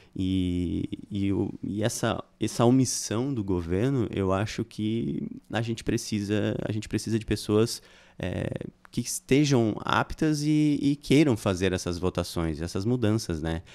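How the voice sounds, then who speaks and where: Speaking at a fairly slow pace, a man uses a fairly low pitch and lively intonation. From Criciúma, Santa Catarina, Brazil; Santa Catarina, Brazil. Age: 40s. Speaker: political candidate, shopkeeper; candidate. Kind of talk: political interview. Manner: halting, many fillers. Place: studio. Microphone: studio mic.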